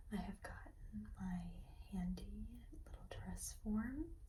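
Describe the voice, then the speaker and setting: The speaker is soft-spoken. Noticeable background noise runs underneath. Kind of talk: ASMR soft-spoken show and tell.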